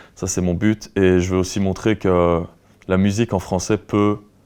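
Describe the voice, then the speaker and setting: A man speaks in a Belgian accent with a very deep, low pitch. His tone is dark and mellow, his intonation monotone and flat. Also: quiet background. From Belgium, Luxembourg province (Wallonia). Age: 20s. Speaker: rock musician. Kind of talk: interview. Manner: hesitant, many fillers.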